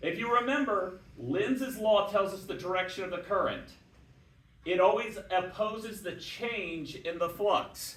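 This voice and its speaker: A man speaks at a high pitch for a man and a fairly slow pace. There is audible room echo and noticeable background noise. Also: ordinary pitch variation. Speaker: physics teacher. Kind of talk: lecture.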